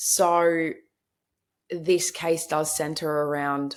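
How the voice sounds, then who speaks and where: A woman speaks very slowly in a very deep, low pitch with a strong Australian accent. Her intonation is monotone and flat, and the recording is very clean with a silent background. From Queensland, Australia. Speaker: true crime podcaster. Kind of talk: podcast narration. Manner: casual, conversational.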